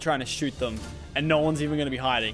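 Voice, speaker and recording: The speaker talks at a very fast pace with ordinary pitch variation. Music plays in the background. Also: man. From Australia. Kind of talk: casual gaming stream commentary.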